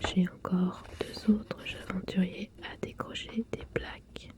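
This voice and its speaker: Someone whispers in a relaxed tone at a very slow pace over noticeable background noise. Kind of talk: ASMR board game unboxing, soft-spoken voice-over to camera. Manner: soft-spoken, relaxed.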